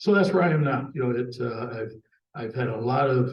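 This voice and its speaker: Vocal fry runs through a man's medium-pitched voice at a fairly quick pace. Room echo is audible. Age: 70s. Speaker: cable industry veteran and mentor. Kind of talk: panel discussion, career storytelling. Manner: casual, hesitant with many fillers.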